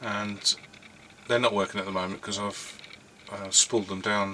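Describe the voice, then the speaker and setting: Through noticeable background noise, a man with a fairly low pitch speaks at a fairly quick pace in a monotone, flat intonation. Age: 60s. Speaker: hobby YouTuber and 3D printing business owner. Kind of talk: casual monologue to camera. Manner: halting, many fillers.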